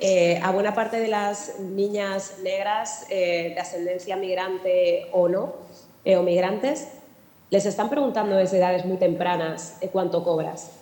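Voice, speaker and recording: A woman in a southern Madrid accent with fairly even intonation, amid noticeable background noise and audible room echo. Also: medium pitch for a woman, fairly slow pace. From Spain, Alcorcón (southern Madrid). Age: 40s. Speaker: journalist and anti-racist activist. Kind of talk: panel talk.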